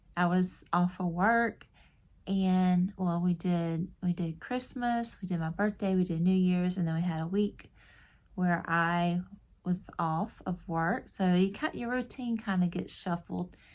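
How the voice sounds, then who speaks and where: A woman with an American accent at a very slow pace and fairly even intonation, on a very clean recording with a silent background. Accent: Southern, stronger when tired. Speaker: crochet YouTuber. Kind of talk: casual chat. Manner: rambling, casual with fillers.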